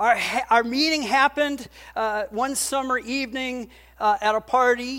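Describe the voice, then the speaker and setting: Against noticeable background noise, a woman with a high pitch speaks at a moderate pace with fairly even intonation. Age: 50s. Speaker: pastor. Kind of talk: sermon. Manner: conversational, with frequent fillers.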